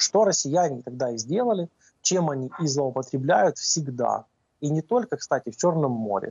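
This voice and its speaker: A man talks with lively intonation against a quiet background, the sound dry with no echo. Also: fairly high pitch for a man, moderate pace. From Ukraine. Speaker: navy spokesperson. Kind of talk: live TV interview. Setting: remote link-up. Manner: frequent hesitations. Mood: calm, analytical. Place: office. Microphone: video call.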